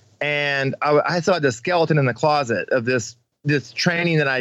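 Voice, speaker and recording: A normal speaking voice from a man, fairly high in pitch, with ordinary pitch variation and very even loudness. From Missouri. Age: 40s. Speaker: off-road racer and military veteran. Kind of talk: casual interview.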